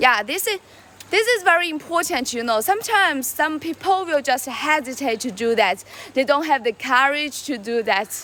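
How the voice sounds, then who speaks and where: A woman uses a raised, projected voice at a high pitch with very wide pitch swings. She keeps a moderate pace over noticeable background noise. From China. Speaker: live streamer. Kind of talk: casual live stream chat. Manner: halting, with many fillers and repetitions.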